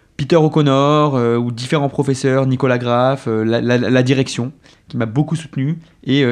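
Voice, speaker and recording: Here is a man with an unremarkable speaking voice at a medium pitch. His intonation is fairly even and his pace moderate. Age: 30s. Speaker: business development lead at a food delivery company. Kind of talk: interview.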